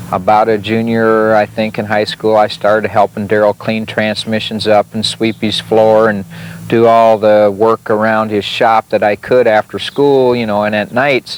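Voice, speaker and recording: In an Upper Midwest accent, a man talks at a moderate pace with hardly any pauses. His intonation is monotone and flat. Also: dry, close sound with no echo. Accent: Upper Midwest American. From South Dakota, Sioux Falls. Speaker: retired sprint car racer. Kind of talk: interview storytelling. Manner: hesitant, many fillers.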